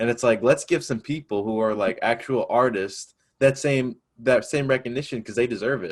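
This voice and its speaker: A man with an American accent has a normal speaking voice at medium pitch. He speaks at a moderate pace with ordinary pitch variation. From upstate New York. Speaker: student podcast host. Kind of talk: casual chat.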